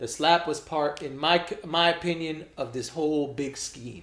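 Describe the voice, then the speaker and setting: Man with a plain, everyday voice, fairly high in pitch, at a fairly slow pace. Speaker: podcast co-host. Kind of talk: casual chat.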